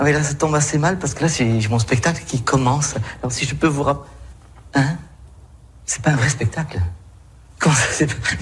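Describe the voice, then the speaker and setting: A man with a fairly high pitch speaks at a fairly quick pace, leaving long, frequent pauses. Room echo is audible. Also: ordinary pitch variation. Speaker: comedian and painter. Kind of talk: interview. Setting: studio.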